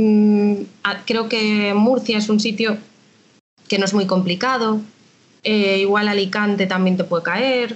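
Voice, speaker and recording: Speaking at a very slow pace with long, frequent pauses, the voice stays monotone and flat, its loudness very even throughout. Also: woman, medium pitch for a woman. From Galicia, A Coruña. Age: 30s. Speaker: tax administration civil servant. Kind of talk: interview. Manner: casual, hesitant.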